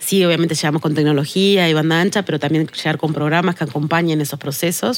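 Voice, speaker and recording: Her voice is very deep and low, with fairly even intonation and very even loudness. The woman talks very fast with hardly any pauses. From Uruguay, Tacuarembó. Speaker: sustainability manager. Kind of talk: podcast interview.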